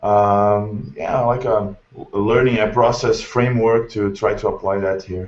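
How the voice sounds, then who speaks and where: A man speaks with a Brazilian Portuguese accent at a fairly slow pace. His pitch is fairly low and his intonation fairly even. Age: 20s. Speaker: English teacher. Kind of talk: self-introduction in video call. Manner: halting, many fillers.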